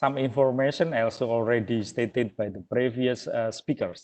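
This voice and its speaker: A man with an Indonesian accent at a fairly slow pace. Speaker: webinar speaker. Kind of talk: presentation. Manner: halting.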